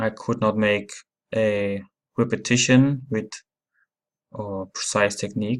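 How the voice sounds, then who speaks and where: This man has a non-native accent and a fairly low pitch. He speaks in a flat monotone, with long, frequent pauses. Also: fairly slow pace. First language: not English. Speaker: app reviewer. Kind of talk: tutorial. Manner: halting.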